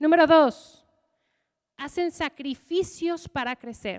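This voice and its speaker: A woman's extremely high, animated voice with an English accent, against a quiet background. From US, Michigan. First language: English (speaking Spanish). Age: 30s. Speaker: leadership coach; leadership coach speaker. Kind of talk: motivational talk. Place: hall. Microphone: handheld.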